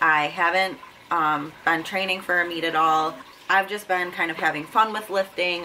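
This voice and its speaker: A woman with a fairly low pitch speaks at a moderate pace over noticeable background noise. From Buffalo, New York, US. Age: 20s. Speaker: fitness vlogger, powerlifter. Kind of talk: casual vlog talk to camera. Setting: home, sitting in front of camera. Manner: casual with frequent fillers.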